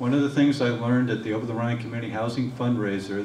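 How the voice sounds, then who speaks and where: A man speaks with fairly even intonation. Room echo is audible, along with light background noise. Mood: earnest, persuasive. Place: hall. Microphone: podium.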